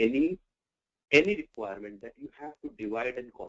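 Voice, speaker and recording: Here a man has a normal speaking voice at a medium pitch. He speaks at a fairly quick pace with lively intonation. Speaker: business analysis trainer. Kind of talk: live online lecture. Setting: online class.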